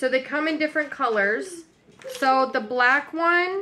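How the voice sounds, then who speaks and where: Over light background noise, a woman with a high pitch speaks at a fairly slow pace in a raised, projected voice. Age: 30s. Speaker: lifestyle vlogger doing shopping hauls. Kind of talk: casual haul video talking to camera. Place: kitchen. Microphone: phone near.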